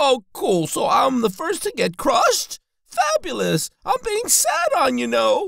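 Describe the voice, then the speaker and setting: This is a cartoonish character voice pitched high. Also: fairly slow pace. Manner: sarcastic, complaining.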